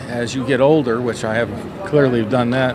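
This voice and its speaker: A man speaks at medium pitch with fairly even intonation. Audible room echo and noticeable background noise fill the recording. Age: 60s. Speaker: softball coach. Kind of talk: interview. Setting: coaches convention.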